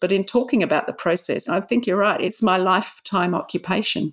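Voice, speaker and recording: A woman with an Australian accent and ordinary pitch variation, on a very clean recording with a silent background. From Australia, Sydney. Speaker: novelist. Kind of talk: interview.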